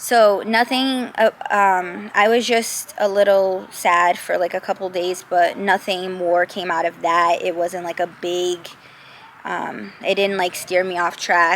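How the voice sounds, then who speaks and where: A woman with a plain, everyday voice at a medium pitch, fairly even intonation, and a fairly slow pace. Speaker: lifestyle vlogger. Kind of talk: casual monologue vlog. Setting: outdoors, then moves closer to camera.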